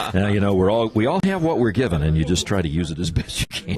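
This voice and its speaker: Over noticeable background noise, a man with a fairly low pitch talks at a very fast pace with lively intonation. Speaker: radio talk show host. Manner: casual, hesitant with fillers.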